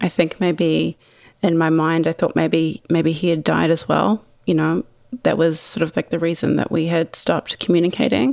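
A woman with a New Zealand accent, fairly low-pitched with vocal fry and very even loudness. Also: ordinary pitch variation, moderate pace. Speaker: wine company founder. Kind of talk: interview.

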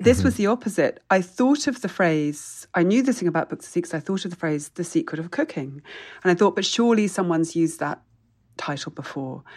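Against a quiet background, a woman with a British accent and a fairly low pitch talks at a fairly quick pace with lively intonation. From England. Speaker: food historian and author. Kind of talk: casual interview.

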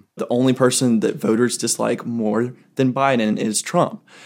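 This voice carries a Southern US accent with ordinary pitch variation. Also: man. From South Carolina. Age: 20s. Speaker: recent college graduate. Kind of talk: group interview.

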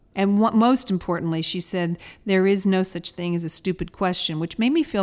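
An unremarkable speaking voice comes through at a moderate pace with ordinary pitch variation in a very clean recording with a silent background. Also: woman. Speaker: podcast co-host. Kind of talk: casual chat.

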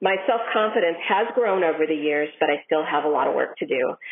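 A woman with an American accent and a normal speaking voice talks at a moderate pace with ordinary pitch variation. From Minnesota, US. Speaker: listener contributor. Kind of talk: recorded listener story.

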